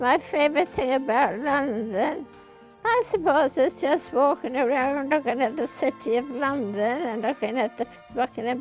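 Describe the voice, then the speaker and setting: Music plays in the background. Over it, a woman with a high pitch talks at a fairly slow pace. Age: 80s+. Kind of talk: interview answer.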